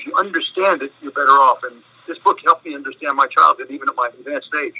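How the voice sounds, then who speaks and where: In an American accent, the voice moves at a very fast pace, with a dry, close sound with no echo. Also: man, big swings in loudness. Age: 80s+. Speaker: author. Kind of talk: interview. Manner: halting.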